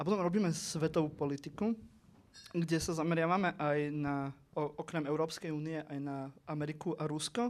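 The speaker has an eastern Slovak accent. The intonation is fairly even and the pace moderate. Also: man, fairly high pitch for a man. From eastern Slovakia. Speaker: political podcaster. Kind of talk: panel discussion.

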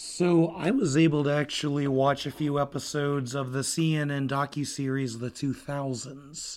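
With an ordinary speaking voice, a man talks at a moderate pace with hardly any pauses, fairly even intonation, and a fairly high pitch. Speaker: podcast co-host. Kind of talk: casual chat.

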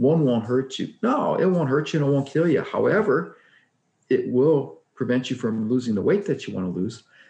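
Pitched fairly high, a man speaks at a moderate pace with lively intonation and a dark, mellow tone. Vocal fry runs through his voice. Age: 60s. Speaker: weight loss coach guest. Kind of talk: casual interview. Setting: video call.

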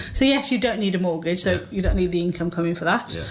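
A woman with an English accent talks very fast at a fairly low pitch with ordinary pitch variation, amid noticeable background noise and audible room echo. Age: 40s. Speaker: property investor. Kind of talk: interview.

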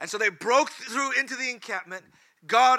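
Bright and sharp in tone, this voice is raised and projected. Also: man. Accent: American. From California. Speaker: preacher. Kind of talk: sermon. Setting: church.

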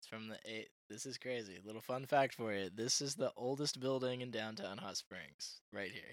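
A man uses a plain, everyday voice at a medium pitch with ordinary pitch variation. He keeps a moderate pace, with big swings in loudness. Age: 20s. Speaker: singer and drummer, TikTok creator. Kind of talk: casual chat. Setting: at guest's home.

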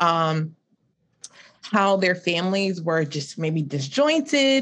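Fairly low pitch from a woman, set against a quiet background. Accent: South Carolina. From South Carolina Lowcountry. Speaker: marriage and family therapist. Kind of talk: panel discussion on livestream.

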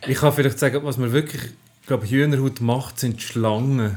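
Fairly quick speech from a man at a medium pitch, its intonation fairly even. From Switzerland, Aargau (Zofingen region). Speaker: science journalist. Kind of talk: casual chat. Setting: home kitchen. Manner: halting.

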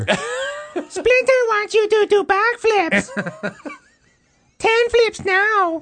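A squeaky, put-on character voice speaks at an extremely high pitch and a very slow pace. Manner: commanding.

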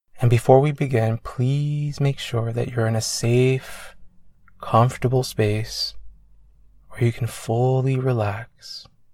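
Very slow and monotone, a man speaks with a soothing, gentle tone that is dark, mellow and somewhat breathy, with flat intonation. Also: medium pitch for a man. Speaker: meditation coach. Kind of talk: guided meditation. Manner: slow, soothing, gentle; calm, measured, with long pauses.

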